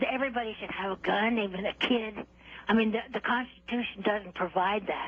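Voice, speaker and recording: Fairly quickly and at a fairly high pitch, a woman speaks with fairly even intonation. Noticeable background noise runs underneath. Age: 80s+. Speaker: caller. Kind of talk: call-in comment.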